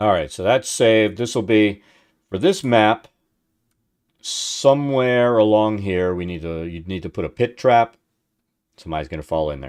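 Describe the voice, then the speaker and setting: Against a silent background on a very clean recording, a man with a fairly low voice speaks at a moderate pace with lively intonation, big swings in loudness and long, frequent pauses. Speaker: livestreamer making game maps. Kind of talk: casual live stream chat.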